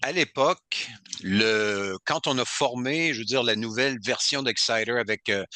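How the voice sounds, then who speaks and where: A man talks with a Quebec accent in a bright, sharp tone. His pitch varies in an ordinary way, and his loudness stays very even. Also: medium pitch for a man, fairly slow pace, dry, close sound with no echo. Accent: Québécois French. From Quebec, Côte-Nord. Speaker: heavy metal singer. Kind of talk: interview.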